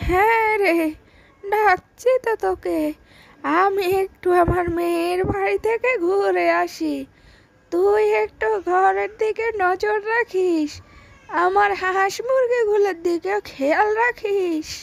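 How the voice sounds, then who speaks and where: A woman's cartoonish character voice, extremely high in pitch, at a very slow pace. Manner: warm, motherly.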